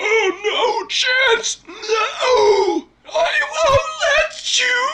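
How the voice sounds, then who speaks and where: In a put-on character voice, someone shouts at an extremely high pitch and a very slow pace. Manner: menacing, pleading.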